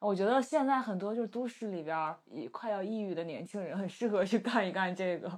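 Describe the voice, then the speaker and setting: A plain, everyday voice moves at a fairly quick pace with hardly any pauses. Its intonation is lively. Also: woman, medium pitch for a woman. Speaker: podcast host. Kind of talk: casual chat.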